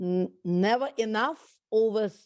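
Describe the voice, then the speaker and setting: Her voice is fairly high, and this woman speaks with a Russian accent. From Russia, raised abroad (Central Europe, UAE). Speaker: entrepreneur. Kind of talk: interview. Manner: halting, many fillers.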